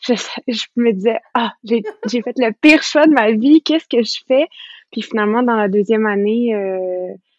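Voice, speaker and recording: An ordinary speaking voice at a fairly slow pace with ordinary pitch variation. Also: woman. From western Canada. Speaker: doctoral researcher in speech-language pathology. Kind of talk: interview.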